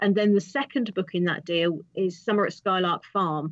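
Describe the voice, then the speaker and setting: A woman with a British accent. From England. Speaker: author. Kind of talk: interview answer.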